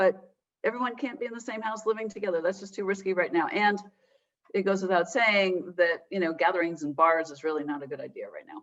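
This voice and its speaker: Ordinary pitch variation shapes a woman's speech in an ordinary speaking voice. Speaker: geriatrician. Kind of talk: webinar presentation.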